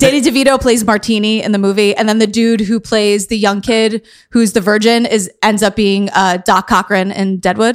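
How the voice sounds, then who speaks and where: A woman with an American accent and a plain, everyday voice speaks at a moderate pace with hardly any pauses, a fairly high pitch, fairly even intonation and very even loudness on a very clean recording with a silent background. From New York City, Queens. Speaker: podcast host. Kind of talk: casual interview.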